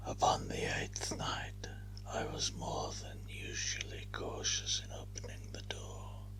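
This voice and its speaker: Someone speaks at a very slow pace as noticeable background noise carries on. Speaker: ASMR narrator. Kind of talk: whispered story reading. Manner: whispered.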